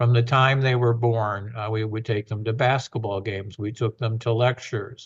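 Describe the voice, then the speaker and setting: Somewhat breathy and medium in pitch, a man talks at a moderate pace in a monotone, flat intonation. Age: 70s. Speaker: university president. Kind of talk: podcast interview. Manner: frequent fillers and restarts.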